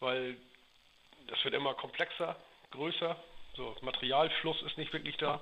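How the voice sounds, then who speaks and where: The speaker moves at a fairly slow pace with fairly even intonation and long, frequent pauses. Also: man, fairly high pitch for a man. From Schleswig-Holstein, Dithmarschen (northern Germany). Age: 40s. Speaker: heating business owner. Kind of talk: interview.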